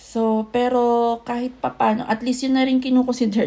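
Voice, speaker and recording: Her voice has a dark, mellow tone. The woman sounds somewhat breathy. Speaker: vlogger. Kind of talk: casual vlog talk.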